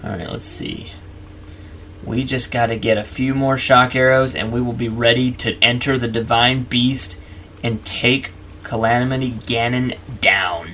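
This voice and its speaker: Speaking fairly slowly, a man uses a medium pitch. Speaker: gaming youtuber. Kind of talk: let's play commentary. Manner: animated.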